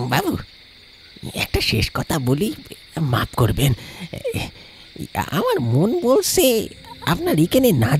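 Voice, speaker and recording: Someone talks at a moderate pace in a put-on character voice. Clear music plays in the background. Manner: pleading, fearful.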